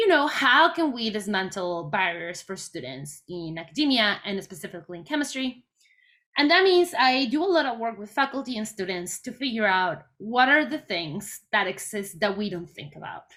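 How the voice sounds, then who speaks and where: On a very clean recording with a silent background, a woman with a Mexican accent speaks at a moderate pace in a bright, sharp tone, her fairly high pitch swinging very widely and her loudness rising and falling in big swings. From Mexico, Mexico City. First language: Spanish. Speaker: chemistry education researcher. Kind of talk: workshop talk.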